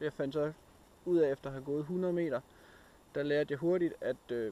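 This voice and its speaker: A man's dark, mellow tone at a moderate pace with fairly even intonation. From Denmark, Randers (East Jutland). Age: 30s. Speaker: outdoor vlogger. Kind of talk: casual vlog talk to camera. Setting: outdoors in a forest, hiking. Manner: hesitant, with many filler sounds.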